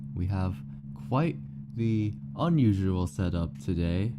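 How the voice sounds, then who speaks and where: A soft-spoken, mumbling man with a very deep, low voice and ordinary pitch variation, long pauses coming often, in a room with audible echo. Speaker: streamer. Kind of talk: casual live-stream chat.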